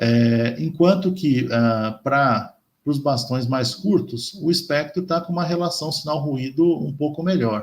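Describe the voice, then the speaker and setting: This man's voice sits fairly high and sounds somewhat breathy. His intonation is lively. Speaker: chemistry professor. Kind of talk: lecture. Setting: colloquium talk. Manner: slow; halting, many fillers.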